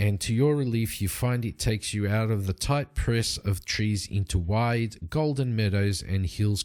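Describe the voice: With ordinary pitch variation, the recording is plain reading aloud.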